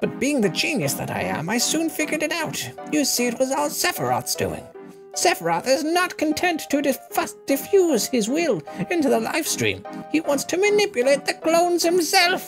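Over clear music in the background, someone uses a put-on character voice at a moderate pace. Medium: game stream. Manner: arrogant, lecturing, gleeful.

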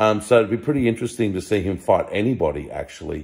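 A man talks at a fast pace, his fairly low voice showing vocal fry and a slightly husky edge. The tone is slightly mellow, with lively intonation.

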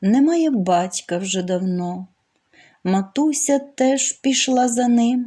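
The voice moves at a very slow pace with lively intonation and a dark, mellow tone. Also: woman, high pitch for a woman. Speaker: poetry reader. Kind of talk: reading aloud.

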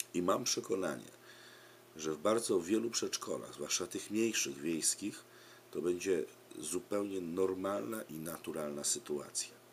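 Over light background noise, the speaker uses a Polish accent at a fairly slow pace with ordinary pitch variation. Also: man, very deep, low pitch for a man. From Poland. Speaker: preschool religion teacher. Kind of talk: direct-to-camera appeal for survey. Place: home room. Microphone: webcam.

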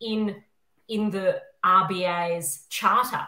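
Speaking with an Australian accent, a woman is heard against a quiet background with audible room echo. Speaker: constitutional lawyer and academic; constitutional lawyer. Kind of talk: panel discussion. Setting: video call. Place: home room. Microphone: webcam.

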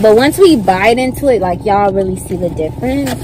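A woman is speaking. Noticeable background noise runs under her voice. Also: dry sound with no echo. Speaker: food reviewer vlogger. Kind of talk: casual vlog chat. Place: car. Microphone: phone near.

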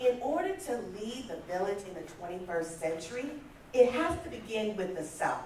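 Speaking at a fairly slow pace with very wide pitch swings, a woman is heard over light background noise and audible room echo. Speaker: conference speaker. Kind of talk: motivational talk. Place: hall. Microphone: camera far.

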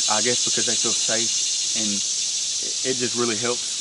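Loud background noise in a dry recording without echo. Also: man. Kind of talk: casual vlog chat. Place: forest.

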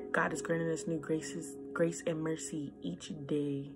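The voice shows ordinary pitch variation. Music plays clearly in the background. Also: woman. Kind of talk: encouraging devotional vlog talk. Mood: earnest, encouraging. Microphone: phone near.

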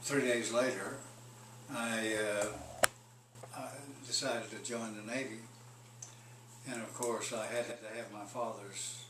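A man at medium pitch with monotone, flat intonation, a fairly slow pace, long, frequent pauses and noticeable background noise. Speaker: war veteran. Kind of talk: interview answer. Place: home room.

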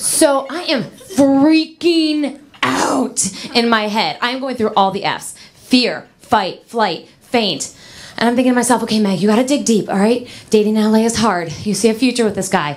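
The delivery is animated and dramatic, with lively intonation at a moderate pace. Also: woman, fairly high pitch for a woman. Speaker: stand-up comedian. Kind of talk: stand-up comedy. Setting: stage with audience. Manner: animated, sassy, mimicking dramatic girl voices. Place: stage. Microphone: handheld.

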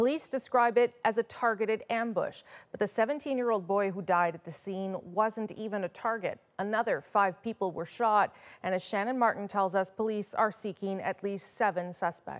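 Her speech moves at a moderate pace with ordinary pitch variation and a medium pitch; it is an ordinary speaking voice. The woman is heard against a quiet background. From Canada. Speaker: news anchor. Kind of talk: news reading. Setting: studio. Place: studio. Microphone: lapel.

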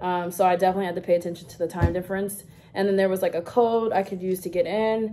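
A woman speaks at a very fast pace. Her intonation is monotone and flat over light background noise. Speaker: haul vlogger. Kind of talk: casual vlog chat. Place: home room. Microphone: phone near.

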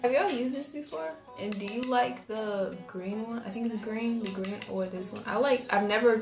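Fairly quick speech with ordinary pitch variation, audible room echo and clear music in the background. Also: woman. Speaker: hair vlogger. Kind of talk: casual tutorial vlog chat. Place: bathroom. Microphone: phone near.

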